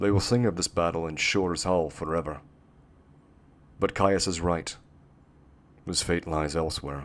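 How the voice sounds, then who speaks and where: A man puts on a character voice, very deep, low and rumbling. He keeps a moderate pace but leaves long, frequent pauses. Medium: read story. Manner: rumbling, grave.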